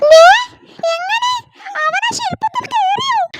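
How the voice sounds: This is a cartoonish character voice, squeaky and extremely high in pitch. It moves at a fairly slow pace.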